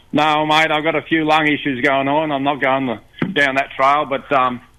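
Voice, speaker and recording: A man with an Australian accent at a moderate pace, monotone and flat, with very even loudness. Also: fairly high pitch for a man. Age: 70s. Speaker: caller. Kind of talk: casual chat. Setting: phone call.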